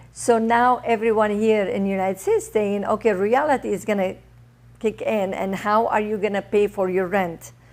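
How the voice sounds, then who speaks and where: With a non-native accent, a woman talks at a moderate pace and medium pitch. Her intonation stays fairly even. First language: not English. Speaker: author and TV producer. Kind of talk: interview. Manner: halting.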